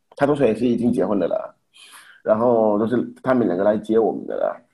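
A man in a French accent with a dark, mellow tone, medium pitch and a moderate pace. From Haiti. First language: French (speaking Chinese). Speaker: immigrant husband and father. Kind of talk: casual chat. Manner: halting.

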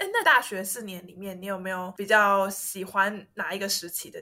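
A woman's normal speaking voice, medium in pitch, at a fairly quick pace with fairly even intonation. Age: 30s. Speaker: host's university friend. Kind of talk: casual chat.

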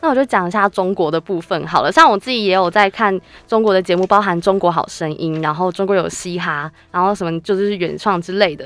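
An ordinary speaking voice from a woman, medium in pitch, at a fairly quick pace. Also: ordinary pitch variation. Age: 20s. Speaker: university student and radio intern. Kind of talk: casual chat.

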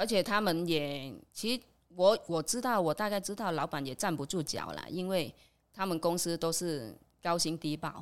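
On a very clean recording with a silent background, a woman with a fairly low pitch talks at a moderate pace with lively intonation. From Vietnam. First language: Vietnamese (speaking Chinese). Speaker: immigrant worker. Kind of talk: casual chat.

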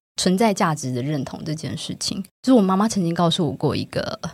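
A woman has a normal speaking voice, fairly low in pitch, at a fairly quick pace. The recording is very clean with a silent background. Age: 30s. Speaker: book editor. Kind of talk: conversational interview.

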